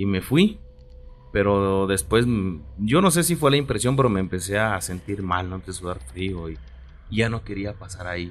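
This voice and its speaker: A moderate pace with long, frequent pauses and big swings in loudness. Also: man. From Mexico, Oaxaca. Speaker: radio co-host. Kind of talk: casual chat.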